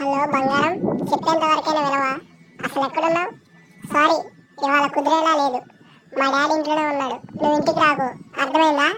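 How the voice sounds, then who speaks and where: A woman's put-on character voice, high in pitch, with monotone, flat intonation at a moderate pace. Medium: comedy sketch. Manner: hurried, hushed.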